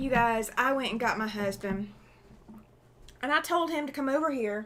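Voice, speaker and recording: Talking with an American accent, a woman uses a high pitch, ordinary pitch variation and a moderate pace. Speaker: quilting livestream host. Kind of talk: casual livestream chat.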